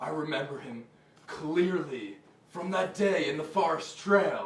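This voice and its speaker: Putting on a character voice, a man speaks fairly slowly at a fairly high pitch with a slight echo. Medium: comedy sketch.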